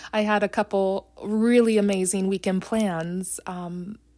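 On a very clean recording with a silent background, a woman with an American accent and a dark, mellow tone speaks very slowly with ordinary pitch variation. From US Midwest (Ohio). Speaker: faith podcast host. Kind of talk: devotional podcast talk.

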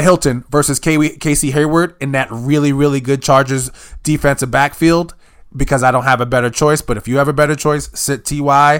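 A man speaks at a fairly quick pace in an unremarkable speaking voice. His pitch is fairly high. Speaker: podcast host. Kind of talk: casual sports chat.

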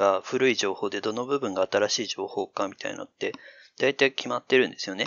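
A man talks in a normal speaking voice at a moderate pace. His pitch is medium. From Chichibu, Saitama (until mid elementary school). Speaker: AI dialogue systems researcher with linguistics background. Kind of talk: casual chat.

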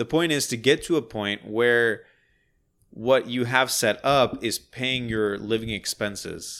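The delivery is fairly slow with fairly even intonation. It is an unremarkable speaking voice. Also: man, medium pitch for a man. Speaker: podcast co-host. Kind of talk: casual chat.

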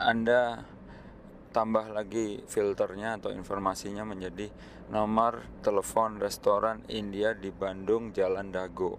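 Talking at a fairly slow pace, a man speaks in a fairly low voice. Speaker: podcaster on open science and data. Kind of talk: solo educational talk. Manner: relaxed, conversational with fillers.

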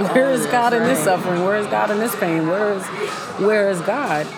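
With an American accent and a medium pitch, a woman talks fairly quickly with ordinary pitch variation, amid noticeable background noise and audible room echo. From Pittsburgh, Pennsylvania. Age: 30s. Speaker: radio host and transformational coach. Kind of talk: casual interview about faith.

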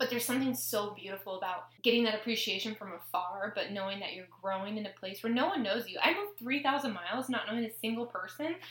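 Over noticeable background noise, a voice with an American accent rushes along at a very fast pace with hardly any pauses and ordinary pitch variation. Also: woman, fairly high pitch for a woman. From US Pacific Northwest (Tacoma, Washington). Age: 20s. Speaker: podcast host, chiropractic student. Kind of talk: casual chat.

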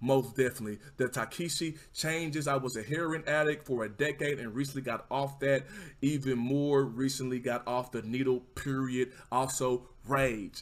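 Animated and enthusiastic, a man speaks with a Southern US accent at a medium pitch. His pace is moderate, and the recording is very clean with a silent background. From Texas. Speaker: livestreamer podcast host. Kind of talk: casual livestream chat. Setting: livestream, home setup with mic. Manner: animated, casual, enthusiastic.

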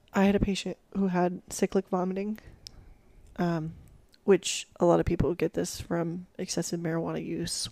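Against a silent background in a very clean recording, a woman speaks with vocal fry, a fairly low pitch, a dark, mellow tone, and fairly even intonation. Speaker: ER nurse. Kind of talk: casual chat. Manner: formal, proper-sounding at the intro.

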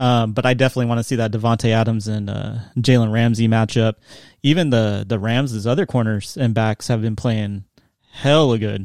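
A man's plain, everyday voice at a medium pitch, fairly quick in pace with fairly even intonation, in a very clean recording with a silent background. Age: 30s. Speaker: sports fan guest. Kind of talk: casual chat.

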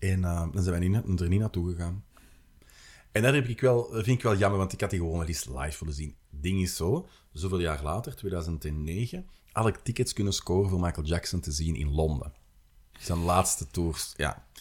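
A man with an Antwerp accent speaks at a moderate pace in a very deep, low, somewhat breathy voice. His pitch varies in an ordinary way, and the recording is very clean with a silent background. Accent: Antwerp Flemish. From Antwerp, Belgium. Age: 40s. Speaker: city guide and author. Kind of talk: casual interview. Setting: studio at a table.

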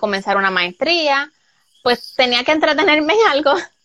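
A woman's raised, projected voice with a bright, sharp tone and very wide pitch swings. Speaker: soap maker and entrepreneur. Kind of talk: interview.

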